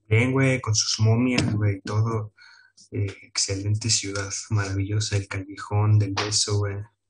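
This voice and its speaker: A man talks with a Mexican accent at a fairly slow pace. His intonation stays monotone and flat. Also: fairly low pitch for a man. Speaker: podcast co-host. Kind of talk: casual chat.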